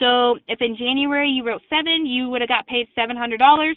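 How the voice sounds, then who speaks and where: Her voice high in pitch, a woman talks with fairly even intonation. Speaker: insurance company sales representative. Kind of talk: sales webinar presentation. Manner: fast.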